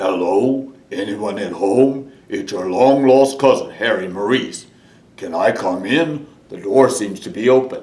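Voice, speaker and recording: Putting on a character voice, a man speaks at a medium pitch and a fairly slow pace. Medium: read story.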